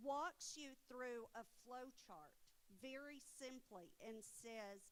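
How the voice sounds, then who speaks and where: Speaking in a Texas accent, a woman has a high pitch. Her pitch variation is ordinary. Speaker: college educator, presenter. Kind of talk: conference presentation.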